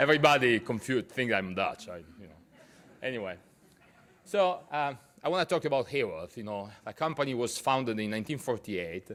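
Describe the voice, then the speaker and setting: Noticeable background noise sits behind a man with an Italian accent. He talks at a fairly quick pace with lively intonation. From Italy. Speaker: business executive. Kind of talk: business talk to a university audience. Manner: hesitant, many fillers.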